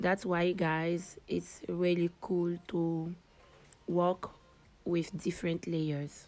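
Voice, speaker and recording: A woman with a non-native accent speaks very slowly at a fairly low pitch, her intonation monotone and flat. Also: very even loudness. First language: not English. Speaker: digital artist. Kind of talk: tutorial.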